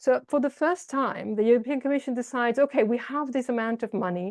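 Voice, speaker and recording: Very fast and with an Italian accent, a woman speaks in a dark, mellow tone with ordinary pitch variation, the sound dry and close with no echo against a quiet background. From Italy. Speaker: urban policy expert. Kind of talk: online seminar talk. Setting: video call.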